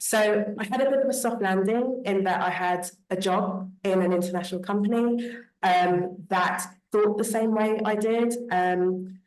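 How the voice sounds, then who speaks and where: Over audible room echo, a woman in a British accent speaks at a fairly slow pace with fairly even intonation and very even loudness. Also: medium pitch for a woman. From Britain. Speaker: panelist, diaspora professional. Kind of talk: panel discussion.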